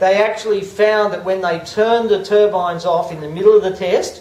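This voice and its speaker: With an Australian accent, a man talks at a fairly quick pace over noticeable background noise and audible room echo. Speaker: acoustician. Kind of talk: public presentation. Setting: public meeting with audience. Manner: monotone.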